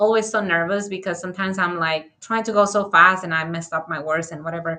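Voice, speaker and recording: A woman's fairly low voice with a bright, sharp tone and a strong Spanish accent, at a fairly quick pace with fairly even intonation. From Dominican Republic. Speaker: architect and author. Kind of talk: interview conversation. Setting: live video stream.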